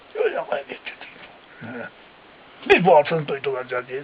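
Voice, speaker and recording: Very wide pitch swings in a man's voice, with noticeable background noise. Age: 80s+. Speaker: villager, eyewitness to wartime massacres. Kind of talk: interview answer.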